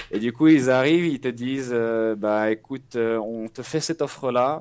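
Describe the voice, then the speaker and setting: A man's voice sits at a medium pitch, his intonation fairly even, captured in a very clean recording against a silent background. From western France (Nantes). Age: 20s. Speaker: esports player and streamer. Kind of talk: interview. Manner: halting.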